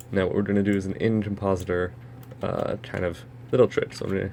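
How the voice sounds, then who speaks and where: Noticeable background noise sits under a man talking at a fairly quick pace. His fairly low pitch shows ordinary variation. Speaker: software tutorial maker. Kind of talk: tutorial.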